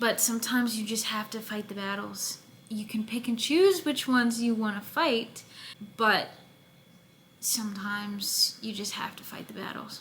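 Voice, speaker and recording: A woman in a normal speaking voice, fairly high in pitch with ordinary variation, at a moderate pace. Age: 20s. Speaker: podcast host and actress. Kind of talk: casual monologue. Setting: away from home while filming.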